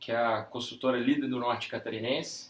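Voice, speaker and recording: At a moderate pace, a man with a medium pitch speaks over noticeable background noise. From Brazil, Minas Gerais (Ipatinga, Vale do Aço). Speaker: real estate sales director. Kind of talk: interview.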